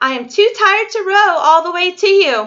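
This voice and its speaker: A woman uses a squeaky, put-on character voice at an extremely high pitch. She speaks at a moderate pace. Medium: read story.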